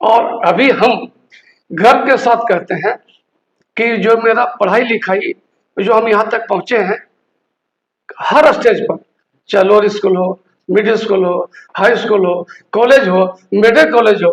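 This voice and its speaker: The speaker pauses long and often. Pitch varies in an ordinary way. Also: man, high pitch for a man. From Bihar, Nalanda district. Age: 70s. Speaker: retired doctor. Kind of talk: interview.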